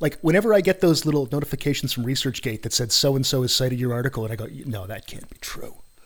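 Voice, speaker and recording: At a very fast pace and with hardly any pauses, a man of medium pitch talks with lively intonation and big swings in loudness. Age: 50s. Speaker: podcast host, psychology academic. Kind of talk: casual interview. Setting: home studio, face to face. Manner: animated.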